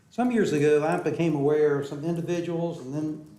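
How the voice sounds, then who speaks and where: A man speaks with a fairly high pitch and ordinary pitch variation. Audible room echo surrounds his voice. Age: 70s. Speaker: public commenter at city council. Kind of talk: public comment speech. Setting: city council meeting chamber.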